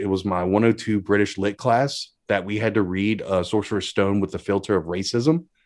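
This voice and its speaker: Speaking at a fairly quick pace, a man with a fairly low pitch is heard on a very clean recording with a silent background. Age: 30s. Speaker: podcaster. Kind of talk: casual chat.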